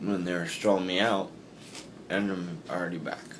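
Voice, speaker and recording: A man's very deep, low pitch in monotone, flat intonation, with noticeable background noise. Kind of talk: drowsy casual chat. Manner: sleepy, dragging post-surgery speech. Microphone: phone near.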